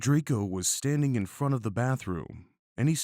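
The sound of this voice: An unforced reading voice carries lively intonation over a quiet background.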